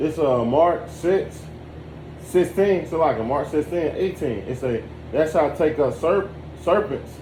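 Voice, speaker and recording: At a fairly slow pace, a man with a fairly high pitch and ordinary pitch variation speaks over noticeable background noise and audible room echo. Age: 30s. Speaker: religious study participant. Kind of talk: scripture reading and discussion.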